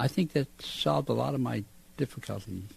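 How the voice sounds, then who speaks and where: A man speaks at a moderate pace with a dark, mellow tone, vocal fry and very wide pitch swings. The sound is dry and close, with no echo. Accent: American. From Massachusetts, US. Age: 70s. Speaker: war veteran. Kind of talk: interview. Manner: halting.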